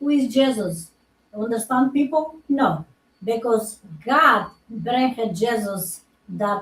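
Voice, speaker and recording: A woman with a non-native accent, very slow in pace and fairly high in pitch, with lively intonation. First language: not English. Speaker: doctor and natural healer. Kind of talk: casual chat. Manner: halting.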